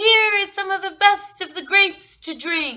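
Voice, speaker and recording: A woman puts on a squeaky character voice at an extremely high pitch. She keeps a moderate pace and ordinary pitch variation. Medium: read story.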